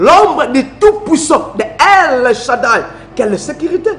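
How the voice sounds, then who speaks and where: A man with a Congolese accent, very slow pace and very wide pitch swings, amid noticeable background noise. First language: Lingala (speaking French). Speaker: preacher. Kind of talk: sermon.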